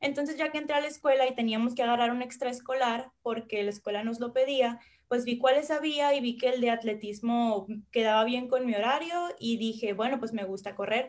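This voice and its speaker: A woman's high voice at a fairly quick pace, with fairly even intonation. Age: 20s. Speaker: university athlete. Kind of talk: interview.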